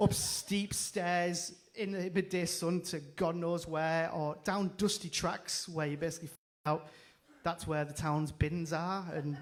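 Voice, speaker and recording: In a northeast English accent, a man speaks with a high-pitched voice and fairly even intonation. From northeast England. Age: 30s. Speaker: comedian. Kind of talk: stand-up. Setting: stage with audience, livestreamed.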